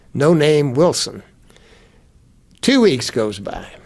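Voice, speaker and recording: At a very slow pace, a man with a fairly high voice speaks with lively intonation amid audible room echo. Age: 80s+. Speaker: business founder and chairman. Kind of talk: interview.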